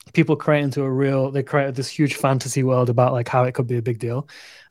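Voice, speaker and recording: A man speaks with a northern English accent at a fairly quick pace. His pitch is fairly high and his intonation fairly even. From northern England. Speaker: crypto show co-host. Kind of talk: casual chat. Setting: livestream video call.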